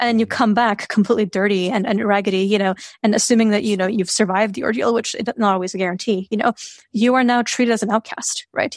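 Her words come at a very fast pace as this woman speaks at fairly high pitch with ordinary pitch variation. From Serbia. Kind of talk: casual chat.

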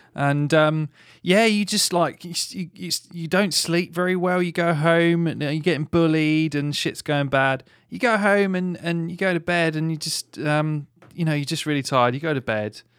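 In a very clean recording with a silent background, a man with a fairly high pitch and a plain, everyday voice speaks at a moderate pace with ordinary pitch variation. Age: 30s. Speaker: podcast co-host who edits the show. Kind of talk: casual chat; reading news stories aloud.

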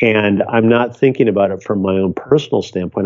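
In a normal speaking voice, a man with an American accent talks at a fairly low pitch with ordinary pitch variation. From US Midwest. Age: 60s. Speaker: photographer. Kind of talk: casual interview.

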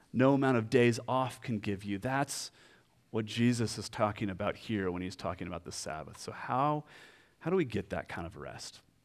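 A man with a normal speaking voice, medium pitch and ordinary pitch variation at a moderate pace, on a very clean recording with a silent background. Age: 40s. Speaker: pastor. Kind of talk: sermon.

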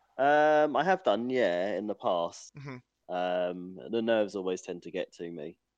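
In a plain, everyday voice, a man talks at a fairly low pitch and fairly slow pace with lively intonation, hardly any pauses and big swings in loudness. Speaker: racing driver. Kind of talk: casual chat.

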